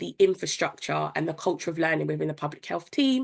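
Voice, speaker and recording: Against a quiet background, the voice carries vocal fry and moves at a fairly quick pace. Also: woman. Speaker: public sector innovation specialist. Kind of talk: webinar presentation.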